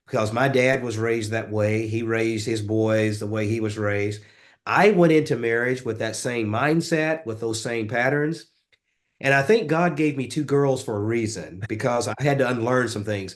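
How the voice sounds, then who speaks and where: A man with a Southern US accent speaks at a medium pitch. His pace is moderate, his pitch varies in an ordinary way, and the background is quiet. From US South, rural West Tennessee. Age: 50s. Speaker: author and leadership coach. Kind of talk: interview.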